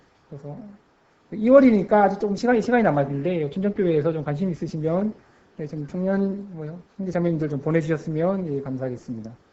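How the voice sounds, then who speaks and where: Talking at a very fast pace, a man with a high voice uses lively intonation and big swings in loudness. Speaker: missionary. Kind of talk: sermon; missionary report. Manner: halting, stammering.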